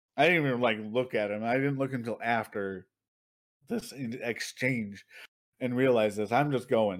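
Moderately paced, a man talks at a medium pitch with ordinary pitch variation in an ordinary speaking voice, in a very clean recording with a silent background. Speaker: podcast co-host. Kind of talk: casual, heavy swearing.

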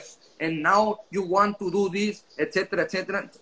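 Noticeable background noise sits behind a man with a high voice. He speaks in a raised, projected way with fairly even intonation. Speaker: language school director. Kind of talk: casual interview.

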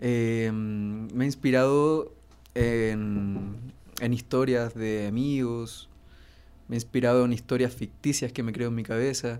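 A man talks at a medium pitch in a dark, mellow tone. He keeps a very slow pace and fairly even intonation. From northern Chile (Iquique). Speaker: singer-songwriter. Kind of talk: casual chat. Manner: halting.

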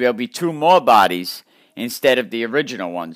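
With a Connecticut accent, a man speaks at a moderate pace. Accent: Connecticut New England. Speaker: podcast host. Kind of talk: storytelling narration.

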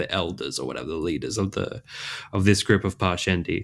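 In a very clean recording with a silent background, a man talks at a fairly quick pace with a very deep, low pitch. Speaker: podcast co-host. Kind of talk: casual chat.

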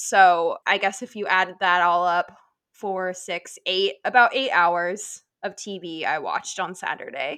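A woman with an American accent, bright and sharp in tone, fairly slow, with fairly even intonation, against a quiet background. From Nebraska. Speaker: sports podcast co-host. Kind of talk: casual chat.

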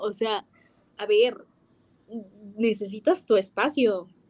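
This woman's fairly high voice moves along at a very slow pace. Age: 20s. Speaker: podcast co-host, music and marketing student. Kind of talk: casual chat. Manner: animated, laughing often.

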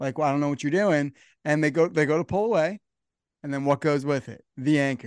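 Speaking with an American accent, a man talks at a fairly quick pace in a fairly high pitch, with an animated tone and ordinary pitch variation. The sound is dry and close with no echo, over a quiet background. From New Jersey. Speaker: podcast host. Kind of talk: casual chat.

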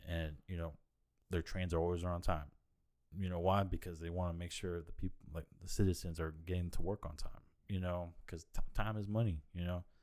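On a very clean recording with a silent background, a man with a very deep, low pitch talks at a fairly quick pace in a relaxed tone, his intonation monotone and flat. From Japan (US naval base, Yokosuka). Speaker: car dealership worker, guest. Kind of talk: casual chat. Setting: at host's home. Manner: relaxed, casual.

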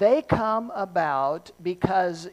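Her pace is very slow. The woman's voice sits at a medium pitch. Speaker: pastor preaching sermon. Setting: live church service. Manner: slow talker.

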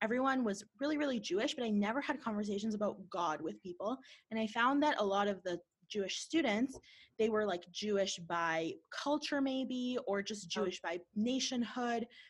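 A woman's fairly high, somewhat breathy voice with lively intonation and a Canadian accent. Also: moderate pace. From Canada, Winnipeg. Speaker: podcast host. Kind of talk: casual interview; scripted intro narration.

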